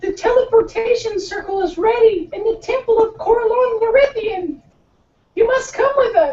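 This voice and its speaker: Squeaky and extremely high in pitch, this is a put-on character voice. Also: moderate pace. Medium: actual play.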